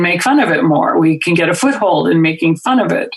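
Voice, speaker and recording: Speaking with a slight Minnesota accent, a woman has a fairly low pitch. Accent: slight Northern Midwestern (Minnesota). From Minnesota, US Midwest. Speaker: comedy writer and film riffer. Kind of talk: podcast conversation.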